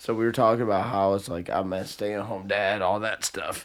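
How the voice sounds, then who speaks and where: Man's voice, very clean recording, silent background. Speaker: podcast co-host. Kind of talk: casual chat. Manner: animated, up and down; loud.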